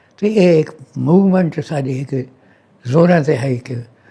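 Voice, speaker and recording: His voice sits fairly high for a man, with a dark, mellow tone. He sounds somewhat breathy, and his pitch varies in an ordinary way. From Dera Ghazi Khan, Punjab, Pakistan. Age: 80s+. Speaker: retired doctor. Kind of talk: interview answer.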